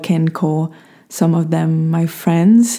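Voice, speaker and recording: A woman with a non-native accent, fairly low in pitch, at a fairly slow pace. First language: not English. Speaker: podcast host. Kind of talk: scripted reading of own written essay, with casual intro.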